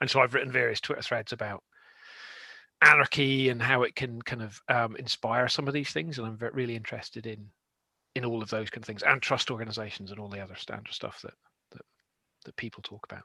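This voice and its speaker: Very fast speech in a Scottish accent carries a bright, sharp tone, fairly even intonation and big swings in loudness on a very clean recording with a silent background. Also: man, medium pitch for a man. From Scotland. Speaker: tech consultant. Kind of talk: panel discussion.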